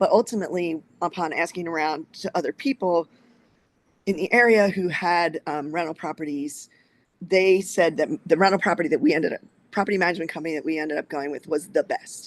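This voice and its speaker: A woman with an American accent and fairly low pitch at a fairly quick pace, with ordinary pitch variation, a dry, close sound with no echo and a quiet background. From New Jersey, outside Philadelphia. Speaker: short-term rental investor. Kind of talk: interview.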